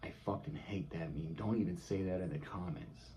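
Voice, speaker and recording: Somewhat breathy and in an American accent, the voice moves at a moderate pace with very wide pitch swings. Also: man. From California. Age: 20s. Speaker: vlogger. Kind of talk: casual vlog monologue. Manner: animated.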